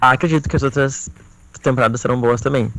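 A man talks with fairly even intonation. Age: 20s. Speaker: pop culture podcaster. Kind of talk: casual chat.

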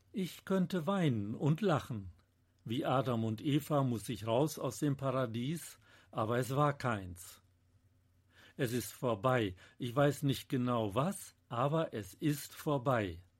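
A man speaks at a very slow pace, somewhat breathy, with lively intonation. The recording is very clean, with a silent background. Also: medium pitch for a man. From Münsterland, Germany. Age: 70s. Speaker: novelist. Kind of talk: author reading from own novel.

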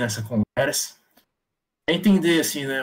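A man's unremarkable speaking voice at a medium pitch, with ordinary pitch variation and a moderate pace. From São Paulo, Brazil, Taiwanese descent. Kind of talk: casual chat. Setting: live stream.

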